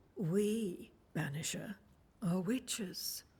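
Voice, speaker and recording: A put-on character voice at a middle pitch, delivered in a calm tone. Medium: video game. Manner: calm, cryptic.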